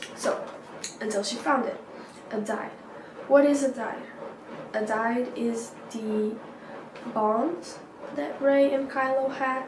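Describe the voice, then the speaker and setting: In a non-native accent, a woman with a high pitch and ordinary pitch variation speaks at a very slow pace with long, frequent pauses, amid audible room echo and noticeable background noise. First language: not English. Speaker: YouTuber. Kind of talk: casual vlog storytelling. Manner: hesitant, many fillers.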